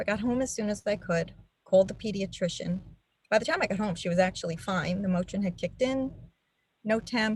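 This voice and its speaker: This woman talks at a fairly quick pace in a New York accent, her medium-pitched voice somewhat breathy and its pitch varying in an ordinary way. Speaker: nurse and advocacy co-founder. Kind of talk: testimony. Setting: webinar video call.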